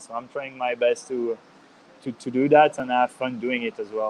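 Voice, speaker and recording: A man talks with a Swiss French accent. His pitch is medium and his pace moderate. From Geneva, Switzerland. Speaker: ice cross athlete. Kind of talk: podcast interview. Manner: halting, many fillers and repetitions.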